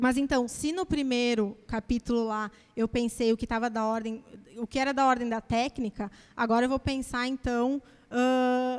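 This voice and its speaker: A woman's high voice at a moderate pace with fairly even intonation. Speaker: academic speaker presenting her master's dissertation; speaker. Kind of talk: academic lecture. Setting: auditorium with audience. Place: classroom. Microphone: handheld.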